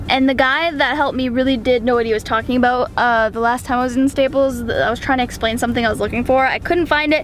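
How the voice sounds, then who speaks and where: A woman speaks at a very fast pace in a high voice. Noticeable background noise runs underneath. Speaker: gaming vlogger. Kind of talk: casual vlog.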